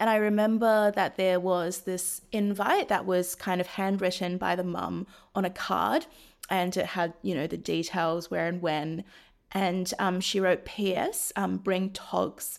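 A woman speaks at a medium pitch in a New Zealand accent, with fairly even intonation and a fairly slow pace. The recording is very clean, with a silent background. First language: Chinese. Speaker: venture investor. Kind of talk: interview.

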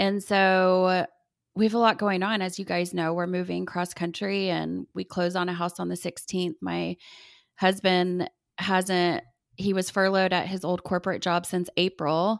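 A woman speaks at a moderate pace in a monotone, flat intonation, with a dry, close sound and no echo. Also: medium pitch for a woman. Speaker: podcast co-host. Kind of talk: casual chat between sisters. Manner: says 'like' a lot.

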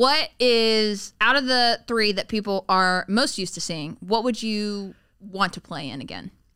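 A woman with an American accent and a bright, sharp tone speaks at medium pitch and a fairly slow pace, with hardly any pauses and big swings in loudness, on a very clean recording with a silent background. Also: ordinary pitch variation. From US South, Tennessee. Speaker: interviewer. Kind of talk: casual chat. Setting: studio.

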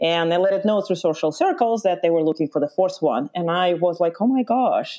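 A woman with an Eastern European accent, fairly quick and lively in intonation, with hardly any pauses and very even loudness. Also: fairly low pitch for a woman. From Lithuania (born in Ukraine). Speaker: backpacking guide and trip planning business owner. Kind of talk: interview. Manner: hesitant, many fillers.

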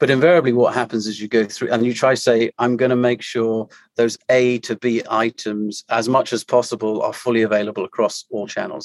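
A man with a British accent speaks at a fairly quick pace in a dry, close sound with no echo. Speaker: company CEO. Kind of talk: casual interview.

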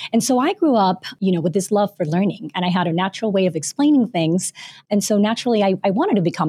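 Very fast in pace, a woman at medium pitch speaks with a dark, mellow, somewhat breathy tone, in a dry, close sound with no echo on a very clean recording with a silent background. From Panama, but moved around many countries. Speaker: author and former teacher. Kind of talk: interview.

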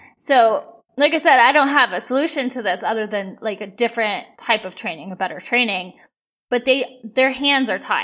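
A woman at a moderate pace, an ordinary speaking voice with ordinary pitch variation. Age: 40s. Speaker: true crime podcast host. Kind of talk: casual chat.

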